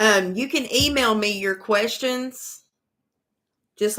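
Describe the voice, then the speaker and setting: A woman with a Southern US accent talks at a very slow pace. Her tone is bright and sharp, her pitch fairly high and her intonation fairly even. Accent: country Southern. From US South, east Tennessee. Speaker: tarot reader. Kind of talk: live-stream tarot reading. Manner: casual, drawling.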